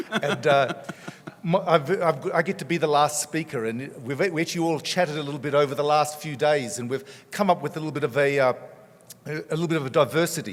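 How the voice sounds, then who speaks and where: Speaking with an Australian accent, a man talks at a fairly quick pace with a fairly high pitch and ordinary pitch variation. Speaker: cardiologist. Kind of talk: conference talk.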